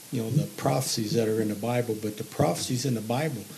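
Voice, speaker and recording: A man talks at a medium pitch with a Missouri accent. Noticeable background noise runs behind him. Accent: Southern Midland US (Missouri). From Missouri, southeast (Bloomfield). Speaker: retired grocery manager and gospel singer. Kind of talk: testimony. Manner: halting.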